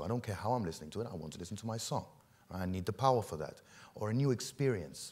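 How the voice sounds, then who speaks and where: A man talks at a very fast pace with lively intonation. His pitch is fairly low. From Egypt. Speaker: company executive presenting. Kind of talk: conference presentation. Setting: stage with audience. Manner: casual, engaging with audience. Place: stage. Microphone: lapel.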